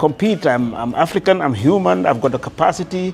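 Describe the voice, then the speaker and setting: A man talks at a fairly quick pace with a fairly high pitch. His pitch swings very widely, and background noise is noticeable. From Gambia. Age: 60s. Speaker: construction business owner. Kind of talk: interview. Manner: hesitant, many fillers.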